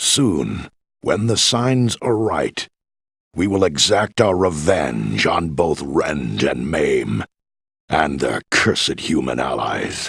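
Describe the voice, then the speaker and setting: The man's pace is fairly slow. He uses a put-on character voice pitched very deep and low. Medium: video game. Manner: measured, authoritative.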